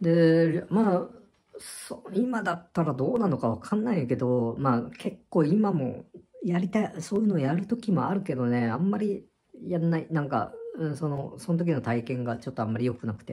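A man with a high voice talks at a moderate pace, his pitch swinging very widely. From Japan. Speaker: vlogger. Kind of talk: casual monologue recounting personal experience. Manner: rambling, conversational, halting with fillers. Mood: reflective, slightly apologetic. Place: home room. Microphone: phone near.

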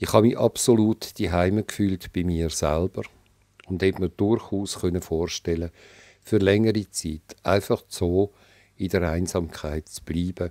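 With a Swiss accent, a man talks at a fairly slow pace in a very deep, low pitch, his tone dark and mellow and his intonation fairly even. The sound is dry and close with no echo, a very clean recording against a silent background. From Switzerland. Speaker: author. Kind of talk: reading aloud.

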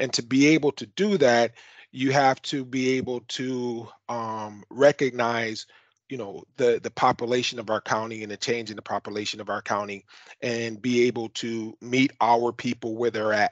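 In a quiet, dry space with no echo, a man with an American accent speaks at a moderate pace, his medium-pitched voice following a fairly even intonation. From US Midwest. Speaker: county government official. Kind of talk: panel discussion. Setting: video call. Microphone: video call.

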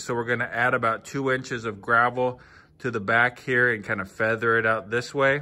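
The tone of the man's voice is bright and sharp. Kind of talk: casual vlog chat. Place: open country. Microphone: phone near.

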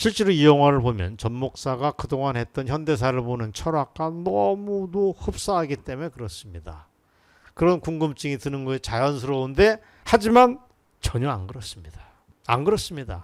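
Over a very clean recording with a silent background, a man with a fairly high pitch speaks at a moderate pace, his voice making very wide pitch swings. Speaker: political commentator. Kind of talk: political commentary monologue.

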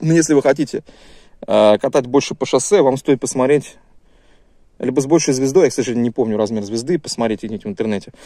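A man's medium-pitched voice with a dark, mellow tone and ordinary pitch variation, very fast pace with long, frequent pauses, dry sound with no echo, quiet background. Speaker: YouTuber reviewing gear. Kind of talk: casual video review. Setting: outdoors in woods. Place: forest. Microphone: phone near.

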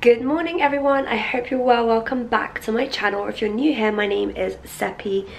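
Over clear background noise, a woman puts on a raspy character voice, speaking at a fairly quick pace with a fairly high pitch. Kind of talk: casual vlog chat.

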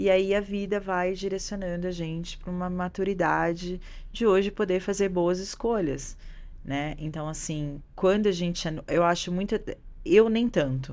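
At a medium pitch, a woman talks at a fairly slow pace with ordinary pitch variation. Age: 30s. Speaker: jiu-jitsu teacher and businesswoman; jiu-jitsu teacher. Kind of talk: casual chat. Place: studio. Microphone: studio mic.

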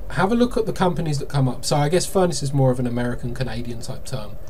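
Light background noise behind a man speaking. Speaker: marketing consultant. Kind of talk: tutorial. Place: home room.

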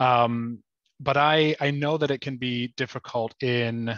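A man speaks at a very slow pace, his intonation fairly even. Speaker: physical therapy student. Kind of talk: audience question.

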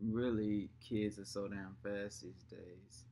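Over light background noise, a man with an ordinary speaking voice talks at a fairly low pitch with fairly even intonation. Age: 20s. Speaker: vlogger, father. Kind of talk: casual chat. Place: home room. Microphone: webcam.

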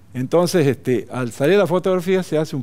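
Lively intonation runs through a man's dark, mellow voice. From northern Salta, Argentina. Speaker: photographer; interviewee. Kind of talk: TV interview; interview answer. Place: studio. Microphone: headset.

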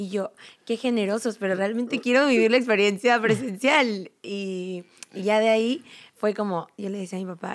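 Against a quiet background, a woman with a fairly high voice speaks at a moderate pace, using ordinary pitch variation and big swings in loudness. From Mexico, Uruapan, Michoacán; Michoacán, Mexico. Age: 20s. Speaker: program graduate, church volunteer; podcast guest. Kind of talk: casual chat. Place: hall. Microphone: studio mic.

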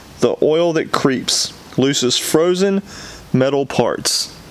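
There is no echo around the man's voice, and the sound is dry. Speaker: plumbing parts seller. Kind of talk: tutorial. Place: workshop.

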